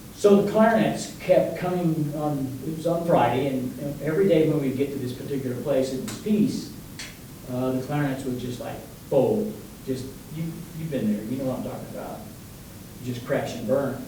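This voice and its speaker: A man talks at a moderate pace and a fairly high pitch, with audible room echo and noticeable background noise. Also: ordinary pitch variation. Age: 70s. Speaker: music educator. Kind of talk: lecture. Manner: animated.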